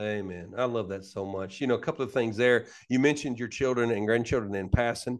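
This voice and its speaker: In an Alabama accent, a man of medium pitch talks at a very fast pace with ordinary pitch variation over a quiet background. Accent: Southern US (Alabama). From US South. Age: 40s. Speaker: pastor. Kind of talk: casual interview. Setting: backstage of a worship center.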